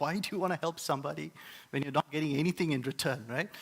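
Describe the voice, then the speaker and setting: With an Indian accent, a man talks using lively intonation. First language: Indian language. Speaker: preacher. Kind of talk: sermon. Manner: hesitant, many filler words.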